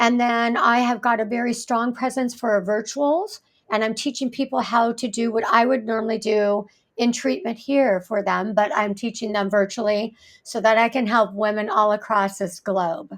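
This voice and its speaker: This woman has a plain, everyday voice, fairly high in pitch, with fairly even intonation and a moderate pace. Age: 60s. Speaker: fascia therapist. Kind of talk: podcast interview.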